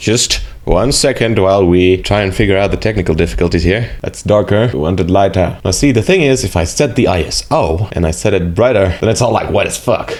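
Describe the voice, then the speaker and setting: A man with a South African accent, fairly low pitch and ordinary pitch variation, at a fairly quick pace with hardly any pauses, over noticeable background noise. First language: Afrikaans. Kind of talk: casual talk to camera.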